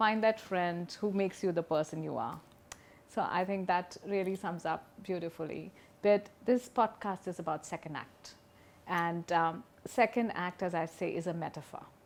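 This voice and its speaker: Her voice is fairly low in pitch, and the woman speaks at a moderate pace with ordinary pitch variation. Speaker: podcast host. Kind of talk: interview. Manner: animated.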